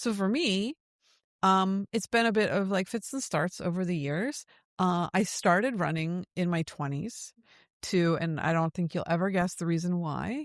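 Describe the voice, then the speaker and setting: At a moderate pace, a normal speaking voice with ordinary pitch variation comes through dry and close with no echo, on a very clean recording with a silent background. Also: woman, medium pitch for a woman. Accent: American. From United States. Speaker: podcast host. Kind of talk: casual chat.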